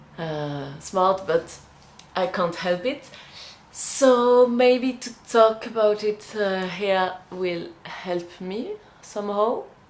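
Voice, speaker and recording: A woman with a French accent, medium in pitch, very slow, with ordinary pitch variation. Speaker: vlogger and indie magazine publisher. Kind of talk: personal vlog talk. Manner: halting, many fillers and restarts.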